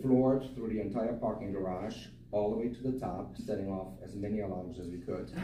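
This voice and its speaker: A man speaks in a fairly low voice with ordinary pitch variation. Audible room echo surrounds him. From Germany. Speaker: eulogy speaker, friend of the deceased. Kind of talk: eulogy. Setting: memorial service.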